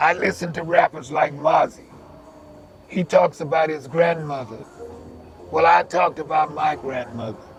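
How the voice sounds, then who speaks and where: Against noticeable background noise, a man with a fairly high pitch speaks at a fairly slow pace, leaving long, frequent pauses. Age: 80s+. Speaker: community elder and youth worker. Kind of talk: interview.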